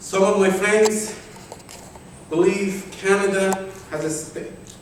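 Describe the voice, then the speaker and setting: In a room with audible echo and noticeable background noise, a man speaks at a very slow pace. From Afghanistan. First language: Persian (Dari). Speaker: journalist and writer. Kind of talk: conference speech, partly read aloud. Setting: conference hall with audience. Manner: halting, with self-corrections.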